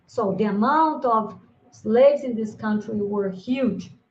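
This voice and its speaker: Very slow and somewhat breathy, a woman speaks at a fairly high pitch with ordinary pitch variation. She has a Brazilian accent. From Brazil, Minas Gerais (Triângulo Mineiro). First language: Brazilian Portuguese. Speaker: linguistics professor. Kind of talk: conference lecture. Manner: halting with many fillers.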